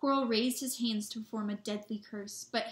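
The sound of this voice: The reading voice is unforced, and its intonation remains fairly even.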